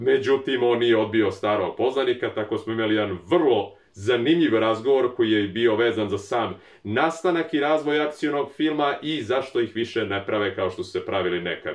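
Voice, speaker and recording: The intonation is lively. There are hardly any pauses. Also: man, medium pitch for a man. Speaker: YouTube film channel creator. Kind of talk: documentary narration. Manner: fast.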